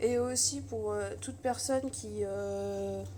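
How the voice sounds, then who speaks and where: A woman is speaking. Room echo is audible. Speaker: youtuber and amateur artist. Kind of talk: casual vlog. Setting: in her bedroom. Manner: halting, many hesitations.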